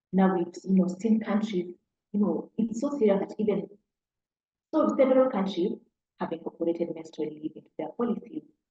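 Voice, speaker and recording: A woman's somewhat breathy voice at medium pitch, with lively intonation. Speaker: workplace wellness presenter. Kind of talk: webinar presentation.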